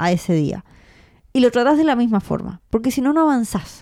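A woman with a Rioplatense accent speaks at a moderate pace in a dark, mellow tone with very wide pitch swings, on a very clean recording with a silent background. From Argentina. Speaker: podcast host, freelancer. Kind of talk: casual chat.

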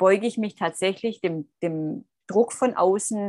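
A woman with a Swabian accent speaks at a fairly slow pace, her pitch medium with ordinary variation. The sound is dry and close with no echo, over a quiet background. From Swabia, southern Germany. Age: 30s. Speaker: coach and mentor for women. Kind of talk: interview.

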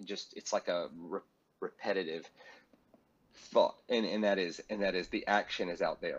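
Here a man talks with a Southern US accent. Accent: Southern American. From US South. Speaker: pastor and speaker. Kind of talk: interview.

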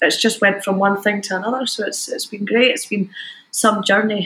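A woman with a Scottish accent talks fairly quickly at a medium pitch. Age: 20s. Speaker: DJ and music producer. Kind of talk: casual chat.

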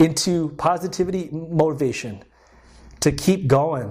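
A man's high pitch with a dark, mellow tone and ordinary pitch variation. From Guam. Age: 30s. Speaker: dental student. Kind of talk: casual interview.

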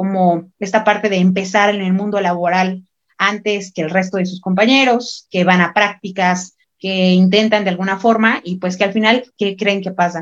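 A woman's medium-pitched voice, monotone and flat, at a moderate pace. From Mexico, Michoacán (Morelia). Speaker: university student and activist. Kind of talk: panel discussion.

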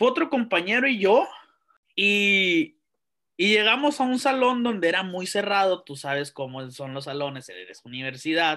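A man's raised, projected voice in a northern Mexican accent, high in pitch with a bright, sharp tone, very wide pitch swings and big swings in loudness, at a moderate pace, in a very clean recording with a silent background. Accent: northern Mexican (Sonoran) Spanish. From Mexico, Sonora (Santa Ana). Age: 20s. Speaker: university lecturer and lawyer. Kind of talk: casual interview chat.

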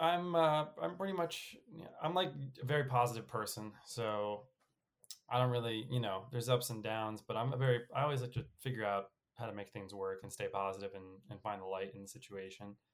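A man with an American accent speaks at a moderate pace and medium pitch, with very wide pitch swings and big swings in loudness. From New York. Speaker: podcast co-host. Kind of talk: casual chat.

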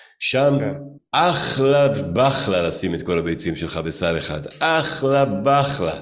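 A man with a medium-pitched voice speaks at a very slow pace, his pitch swinging very widely, with audible echo from the room. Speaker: musician and entrepreneur. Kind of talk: casual interview.

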